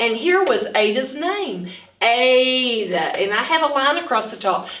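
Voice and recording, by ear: A woman speaks at a high pitch and a fairly slow pace, with a fairly bright tone and big pitch swings.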